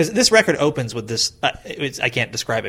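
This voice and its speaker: Very fast talk from a man, noticeable background noise behind it. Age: 30s. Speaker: podcast host. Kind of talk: interview.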